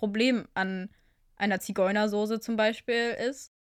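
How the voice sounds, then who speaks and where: On a very clean recording with a silent background, a woman talks in a plain, everyday voice, fairly high in pitch with ordinary pitch variation. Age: 20s. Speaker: podcast co-host, university student. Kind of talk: casual chat.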